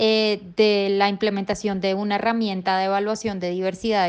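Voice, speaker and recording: At a fairly slow pace, a woman speaks with a medium-pitched voice. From Colombia, Chía near Bogotá. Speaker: nonprofit education executive. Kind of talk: recorded voice message answers.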